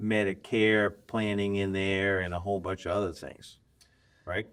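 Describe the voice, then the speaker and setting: A man with a plain, everyday voice, fairly low in pitch, at a moderate pace, in a very clean recording with a silent background. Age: 60s. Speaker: podcast host. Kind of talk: casual chat. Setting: studio.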